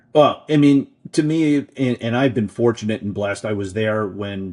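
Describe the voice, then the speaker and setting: A man is speaking. His pace is moderate. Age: 50s. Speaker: political advocacy group executive. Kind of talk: interview.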